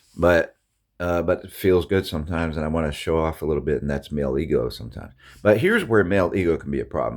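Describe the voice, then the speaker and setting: Very fast and very deep, a man's low voice carries vocal fry and ordinary pitch variation. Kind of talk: casual monologue. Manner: halting, many restarts and fillers.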